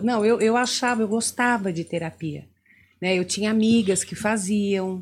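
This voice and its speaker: In a somewhat breathy voice at a fairly high pitch, a woman speaks on a very clean recording with a silent background. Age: 60s. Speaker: therapist. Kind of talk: interview.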